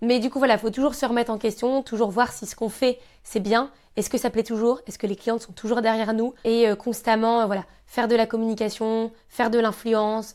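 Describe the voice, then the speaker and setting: A woman with a fairly high pitch speaks at a fairly quick pace in a monotone, flat intonation. Her loudness swings widely on a very clean recording with a silent background. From Normandy, France (Caen). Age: 20s. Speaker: handbag designer and entrepreneur. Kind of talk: interview conversation. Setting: her showroom.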